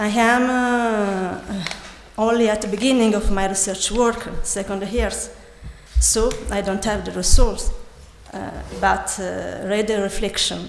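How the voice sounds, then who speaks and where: With an Italian accent, a woman speaks at medium pitch and a fairly slow pace in a flat monotone, pausing long and often, amid audible room echo and noticeable background noise. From Italy. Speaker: architect and PhD student. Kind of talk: conference presentation. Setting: conference hall with audience. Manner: halting, many hesitations.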